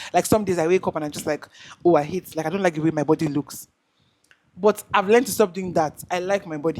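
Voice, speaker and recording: A woman's fairly low-pitched voice at a very fast pace, with fairly even intonation. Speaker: content creator. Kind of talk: casual chat. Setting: video call. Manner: halting.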